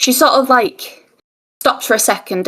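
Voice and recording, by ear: A woman's fairly bright tone at a fairly quick pace.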